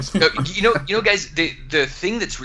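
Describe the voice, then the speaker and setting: A man speaks over noticeable background noise. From Alaska. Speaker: entrepreneur and author. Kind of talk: podcast interview. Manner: fast; animated.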